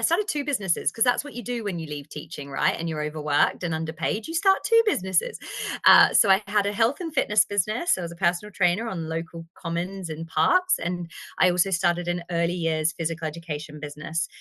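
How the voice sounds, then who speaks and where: A woman talks with lively intonation and a bright, sharp tone, leaving hardly any pauses. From Australia. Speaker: AI trainer and strategy consultant. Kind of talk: podcast interview.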